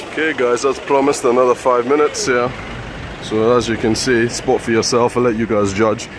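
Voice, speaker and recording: At a fairly quick pace, a man speaks in a medium pitch with very even loudness and monotone, flat intonation, amid noticeable background noise. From UK. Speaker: travel vlogger. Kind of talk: walking vlog commentary. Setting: outdoors, walking city streets. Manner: quiet, hushed; hesitant, many fillers.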